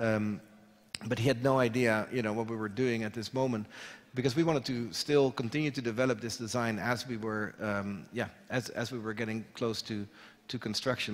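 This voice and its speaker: Using a Dutch accent, a man talks at a fairly quick pace with fairly even intonation. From Netherlands. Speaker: architect; architect lecturer. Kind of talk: lecture. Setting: stage with audience. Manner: hesitant, many fillers. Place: hall.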